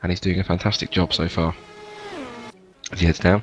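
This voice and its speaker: This man is soft-spoken. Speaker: sim racing commentator. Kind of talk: live commentary. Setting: at home, others sleeping.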